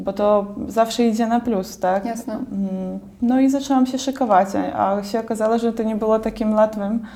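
At a moderate pace, a woman with a fairly high pitch speaks in a fairly even tone over noticeable background noise. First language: Belarusian or Russian (speaking Polish). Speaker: artist and university graduate. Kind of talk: interview.

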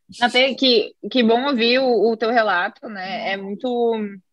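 Here is a woman with an ordinary speaking voice. Her pitch is fairly high and her intonation fairly even. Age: young. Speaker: tax lawyer. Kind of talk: casual interview. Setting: video call.

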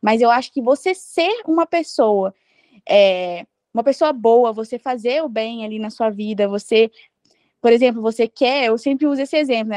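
Against a quiet background, a woman speaks with lively intonation in a dry, close sound with no echo. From Brazil. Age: 20s. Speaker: traveler. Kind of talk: interview.

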